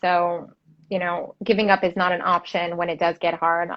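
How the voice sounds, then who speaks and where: A woman's plain, everyday voice with an American accent, medium in pitch, at a moderate pace. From Detroit. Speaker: interior designer. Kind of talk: casual interview. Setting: live video stream.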